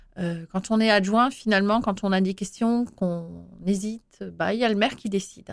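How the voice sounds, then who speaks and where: In a very clean recording against a silent background, an unremarkable speaking voice shows ordinary pitch variation. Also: woman, hardly any pauses. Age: 40s. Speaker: mayor. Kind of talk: interview.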